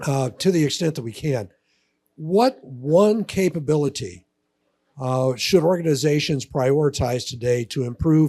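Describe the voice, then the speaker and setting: Somewhat breathy and dark, mellow in tone, a man with a fairly high pitch speaks with lively intonation. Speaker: panel moderator. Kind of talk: conference panel interview.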